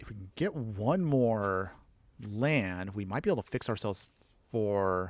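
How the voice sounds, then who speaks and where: A man mumbles in a put-on character voice at a fairly low pitch and a moderate pace. The recording is very clean, with a silent background. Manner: mumbling.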